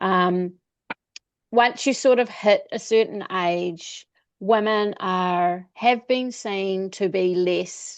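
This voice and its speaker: A woman with a New Zealand accent speaks at a very slow pace in a medium pitch, her intonation fairly even against a quiet background. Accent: Kiwi. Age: 50s. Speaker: travel coach. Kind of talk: interview.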